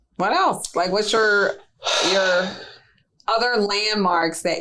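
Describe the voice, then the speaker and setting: A woman in a New Orleans accent speaks at a fairly slow pace. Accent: New Orleans twang. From New Orleans, Louisiana. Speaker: real estate podcast co-host. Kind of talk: casual chat.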